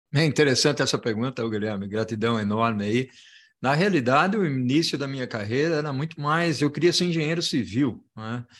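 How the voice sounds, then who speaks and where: Over a quiet background, a man uses a normal speaking voice at medium pitch, talking at a fairly quick pace with lively intonation. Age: 60s. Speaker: logistics consultant and professor. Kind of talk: interview.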